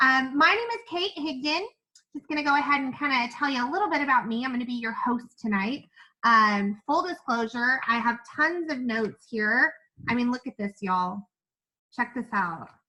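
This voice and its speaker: In an American accent, a woman speaks in a raised, projected voice at a high pitch and moderate pace. Her tone is bright, sharp and animated, with lively intonation. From Kentucky (Owensboro). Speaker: network marketing presenter. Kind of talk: live webinar presentation. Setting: Zoom and Facebook live stream.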